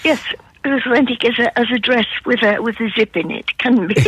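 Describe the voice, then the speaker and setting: With noticeable background noise behind her, a woman speaks in a Geordie accent at a high pitch and a moderate pace. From northern England, Newcastle upon Tyne. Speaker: art historian and author. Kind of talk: radio interview. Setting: phone call.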